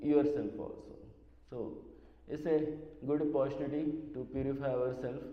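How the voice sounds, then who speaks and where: A man's fairly high, monotone, flat voice at a moderate pace, with audible room echo and noticeable background noise. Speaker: devotee, former secretary to a spiritual teacher. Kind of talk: memorial talk. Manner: halting.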